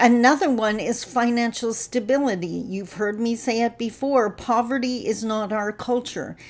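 A woman talks at a moderate pace with ordinary pitch variation and hardly any pauses. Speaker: speaker, trainer. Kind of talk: casual vlog talk on a social topic. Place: home room. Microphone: webcam.

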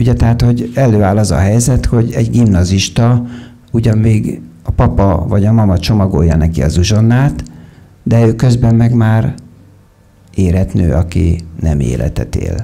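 A man with a normal speaking voice talks at a fairly low pitch and a moderate pace. His intonation is lively, and his loudness is very even. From Hungary. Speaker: psychologist and author; lecturer. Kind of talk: lecture. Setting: stage with audience. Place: stage. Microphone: handheld.

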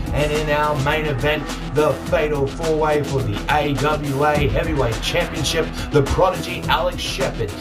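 Fairly slow speech with clear music in the background. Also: man. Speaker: wrestling ring announcer. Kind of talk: wrestling event promo. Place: home room. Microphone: phone near.

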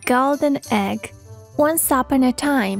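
Over faint background music, a woman with an American accent speaks at a high pitch with ordinary pitch variation. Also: dry sound with no echo. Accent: Serbian speaker with American-leaning English. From Serbia. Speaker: voice-over artist. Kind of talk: children's story narration. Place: studio.

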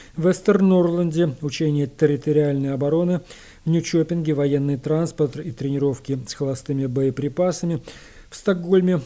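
Dark and mellow in tone, the voice keeps a moderate speed and a fairly even intonation. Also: man. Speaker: radio host. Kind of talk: radio news program. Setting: studio. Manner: formal.

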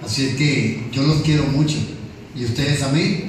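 Strong room echo and noticeable background noise surround a man speaking at a fairly slow pace in an animated tone. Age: 40s. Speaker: preacher. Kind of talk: sermon. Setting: church. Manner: animated, jovial, interactive with congregation. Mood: warm, affectionate. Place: church.

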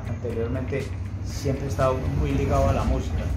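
Loud background noise fills the clip. Over it, a man talks. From Colombia, Antioquia (Envigado). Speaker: DJ and cultural promoter. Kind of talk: interview answer. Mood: warm and nostalgic. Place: home room. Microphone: phone near.

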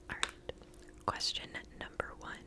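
The clip is a woman whispering. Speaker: quiz host. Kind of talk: reading trivia questions with casual comments. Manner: soft close-mic ASMR murmur. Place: home room. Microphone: studio mic.

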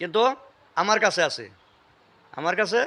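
Bright and sharp in tone, a man's voice comes out raised and projected. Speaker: family history video blogger. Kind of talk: casual interview with elderly relative; religious talk.

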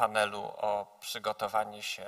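A man is speaking against a quiet background. His tone is bright and sharp. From Poland. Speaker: conference moderator. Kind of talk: formal moderation. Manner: formal. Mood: formal, ceremonial. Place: stage. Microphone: podium.

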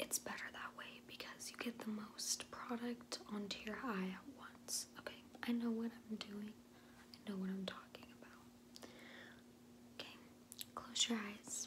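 A woman talks at a fairly slow pace with long, frequent pauses. Noticeable background noise can be heard. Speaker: beauty vlogger. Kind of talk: tutorial. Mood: chatty, playful. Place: home room. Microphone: phone near.

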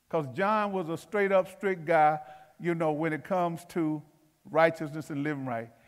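A man with a fairly high pitch, ordinary pitch variation and a moderate pace. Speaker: pastor. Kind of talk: sermon. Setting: church. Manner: halting.

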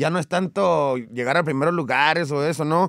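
At a fairly quick pace, a man with fairly high pitch speaks with lively intonation, the sound dry with no echo over a quiet background. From Mexico, Coahuila. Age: 30s. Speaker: regional Mexican singer; guest. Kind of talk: interview. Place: studio. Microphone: studio mic.

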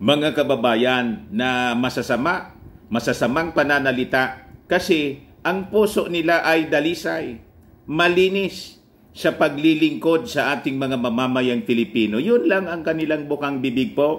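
Lively in intonation, a man with a fairly high pitch speaks at a fairly slow pace. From Philippines. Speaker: political news vlogger. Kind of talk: political commentary vlog. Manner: laughs often while talking. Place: home room. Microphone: phone near.

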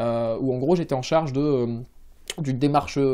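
Over a quiet background, a man speaks at a fairly high pitch with a dark, mellow tone. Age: 20s. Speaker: civil servant project manager; interviewee. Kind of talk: interview. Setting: office. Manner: hesitant, many fillers. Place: office.

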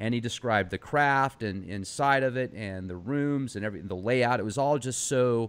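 A man uses a plain, everyday voice, keeping a medium pitch, ordinary pitch variation and a moderate pace. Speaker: podcast host. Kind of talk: interview. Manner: casual, laughs often.

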